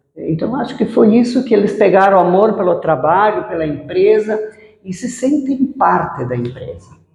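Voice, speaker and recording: A woman speaks at a moderate pace in a medium pitch with very wide pitch swings. Audible room echo surrounds her voice. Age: 60s. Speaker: businesswoman. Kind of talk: interview.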